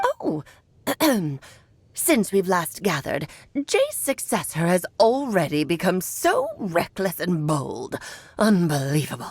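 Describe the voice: Using a put-on character voice, a woman speaks at medium pitch and a fairly slow pace. Long, frequent pauses break up her delivery.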